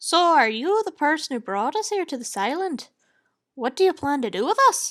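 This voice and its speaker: Using a put-on character voice, a woman speaks at a high pitch with very wide pitch swings. Her voice is raised and projected at a moderate pace. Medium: read story.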